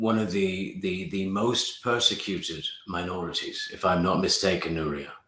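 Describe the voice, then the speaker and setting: A man's very deep, low voice with a slight British accent, fairly even intonation and audible room echo. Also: moderate pace. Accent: slight, well-traveled British. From England and the Middle East, born in Pakistan. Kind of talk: casual interview chat.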